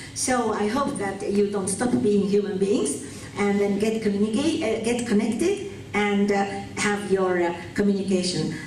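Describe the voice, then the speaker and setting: With audible room echo and noticeable background noise, a woman speaks at medium pitch. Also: ordinary pitch variation, moderate pace. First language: Japanese. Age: 70s. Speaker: conference interpreter. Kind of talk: keynote speech and Q&A. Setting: seminar hall with audience. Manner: hesitant, many fillers.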